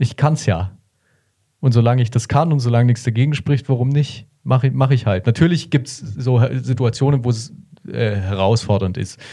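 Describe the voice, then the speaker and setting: Moderate pace from a man with a dark, mellow tone and a somewhat breathy voice. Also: medium pitch for a man, ordinary pitch variation. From Bavaria, Germany. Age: 20s. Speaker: long-distance cyclist. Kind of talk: interview. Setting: studio.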